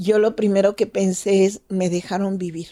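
Her tone dark and mellow, a woman speaks at a medium pitch and a fairly slow pace. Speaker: doctor. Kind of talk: storytelling interview.

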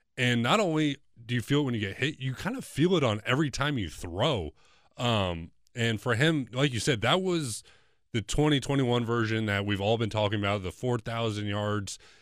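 This man has an unremarkable speaking voice, medium in pitch, with lively intonation at a moderate pace. The recording is very clean, with a silent background. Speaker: former college quarterback, co-host. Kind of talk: casual sports podcast discussion.

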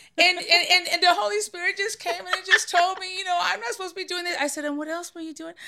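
A woman with an extremely high pitch talks very fast in a raised, projected voice, with hardly any pauses. Her intonation is lively, her loudness swings widely, and background noise is noticeable. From San Francisco Bay Area. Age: 50s. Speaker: grandmother guest. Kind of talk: casual chat.

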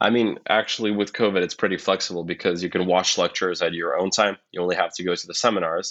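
Very deep and low in pitch, a man talks at a very fast pace with fairly even intonation and hardly any pauses. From Ukraine. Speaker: university student. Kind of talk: interview.

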